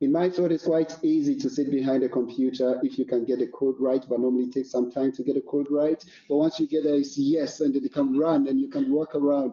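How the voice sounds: The voice has a dark, mellow tone with a slightly husky edge, moving at a fairly quick pace with few pauses and fairly even intonation. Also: man, medium pitch for a man.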